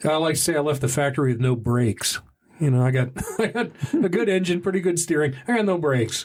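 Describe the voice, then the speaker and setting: Very fast speech comes from a man with an American accent and a fairly high pitch. His loudness stays very even over noticeable background noise. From Texas (Dallas). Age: 60s. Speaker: sobriety podcast host. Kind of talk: casual interview. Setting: studio.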